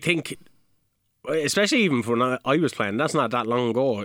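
A man talks with a Kilkenny Irish accent and lively intonation at a medium pitch. His tone is bright and sharp on a very clean recording with a silent background. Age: 30s. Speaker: local soccer podcast co-host and club player. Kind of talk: results and fixtures rundown; casual chat.

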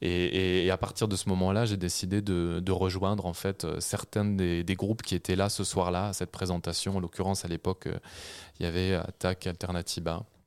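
A man talks in a very deep, low pitch with monotone, flat intonation. His loudness stays very even on a very clean recording with a silent background. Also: moderate pace. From Normandy, France. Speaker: author and journalist. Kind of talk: radio interview. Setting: radio studio.

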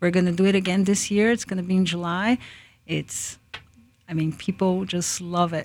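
At a moderate pace, a woman with a Portuguese accent speaks at a medium pitch in a monotone, flat intonation. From Brazil, Japanese-Brazilian. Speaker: food business founder. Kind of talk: radio interview. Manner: halting.

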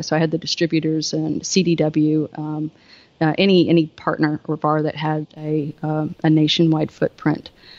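A woman with a Southern US accent at a moderate pace, her very deep, low pitch in a dry, close sound with no echo against a quiet background. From US South. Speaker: Wi-Fi solutions engineering manager. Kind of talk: casual interview chat, technical explanation.

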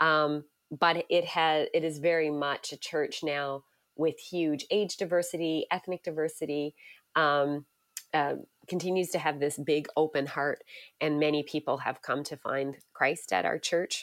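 A woman's very deep, low voice at a fairly slow pace with fairly even intonation, in a very clean recording with a silent background and a dry, close sound with no echo. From Canada, Newfoundland. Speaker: pastor. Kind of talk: interview.

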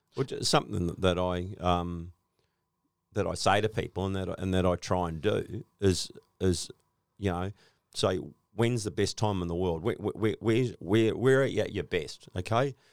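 With an Australian accent, a man speaks at a fairly slow pace and a fairly low pitch in a very clean recording with a silent background. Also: ordinary pitch variation. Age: 60s. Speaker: flooring business owner. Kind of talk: casual interview. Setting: studio.

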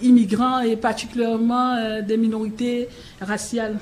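Over noticeable background noise and audible room echo, a woman with a fairly high pitch speaks very slowly, her intonation fairly even. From Cameroon. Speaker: keynote speaker, head of an immigrant integration nonprofit. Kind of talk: conference speech and panel discussion. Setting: public forum at city hall, broadcast live on radio.

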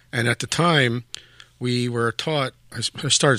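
A man speaks at a medium pitch with a bright, sharp tone and a Philadelphia accent. The recording is very clean with a silent background, and his pitch varies in an ordinary way. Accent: Philadelphia American. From South Philadelphia, US. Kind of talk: interview. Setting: studio.

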